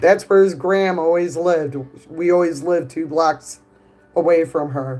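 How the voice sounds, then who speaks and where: A woman speaks at a moderate pace with a Chicago accent. Her voice sits fairly low, and her intonation stays fairly even. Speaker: streamer. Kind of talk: casual chat. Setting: live stream.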